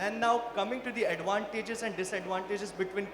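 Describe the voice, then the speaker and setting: Noticeable background noise sits behind a high-pitched man. He talks at a fairly quick pace with fairly even intonation. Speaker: company founder, panelist. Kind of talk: panel discussion.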